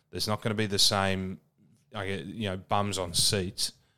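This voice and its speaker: A man with an Australian accent speaks at a fairly low pitch in a monotone, flat delivery, on a very clean recording with a silent background. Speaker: podcast co-host, rugby commentator. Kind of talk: casual chat.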